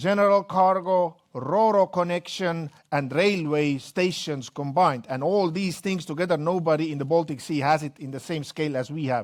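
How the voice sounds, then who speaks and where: With an Estonian accent, a man talks at a moderate pace in a fairly high pitch, with ordinary pitch variation and hardly any pauses, in a very clean recording with a silent background. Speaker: company executive. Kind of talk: business presentation.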